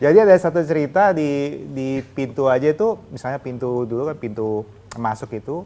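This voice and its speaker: This man talks at a fairly quick pace in a fairly high pitch. His intonation is lively and his loudness swings widely. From Medan, North Sumatra, Indonesia. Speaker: insurance agent, alumnus speaker. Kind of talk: casual interview. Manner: hesitant, code-switching with English.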